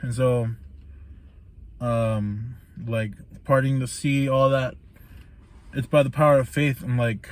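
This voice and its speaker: A man speaks at a medium pitch and a fairly slow pace. His intonation stays fairly even, broken by long, frequent pauses. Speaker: vlogger reviewing a book. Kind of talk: casual book recap monologue. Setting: laundry room, in the dark. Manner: monotone; hesitant, many fillers.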